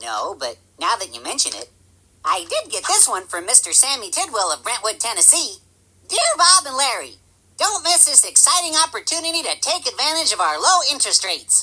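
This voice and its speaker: A cartoonish character voice pitched high. It moves at a fairly quick pace. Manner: cheerful, naive.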